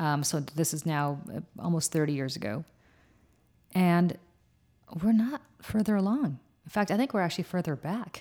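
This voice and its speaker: A woman with an American accent, fairly low pitch, a dark, mellow tone and lively intonation, at a moderate pace with long, frequent pauses. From New Jersey. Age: 40s. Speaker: political commentator. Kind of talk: casual chat.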